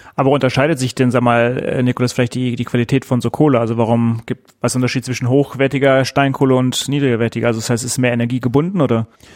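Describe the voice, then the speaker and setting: Monotone, flat intonation at a very fast pace with hardly any pauses. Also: man, medium pitch for a man. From Ruhr area, Germany. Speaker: podcast host. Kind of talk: casual chat. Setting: office.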